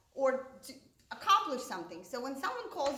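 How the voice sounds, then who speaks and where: A high-pitched woman at a fairly quick pace, with very wide pitch swings, amid noticeable background noise and audible room echo. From Russia, Moscow. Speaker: stand-up comedian. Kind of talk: stand-up.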